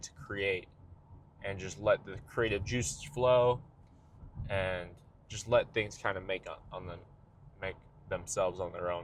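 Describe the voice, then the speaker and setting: With long, frequent pauses and big swings in loudness, a man speaks in a somewhat breathy voice. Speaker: vlogger and musician. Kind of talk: casual monologue vlog. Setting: in a car. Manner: fast, talks over himself.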